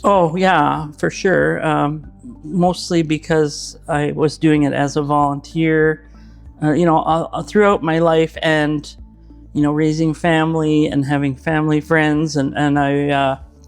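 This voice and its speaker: Over background music, a man speaks fairly slowly at a fairly high pitch. His intonation is flat and monotone, and his loudness stays very even. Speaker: retired animator. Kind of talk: interview answer. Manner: hesitant, casual.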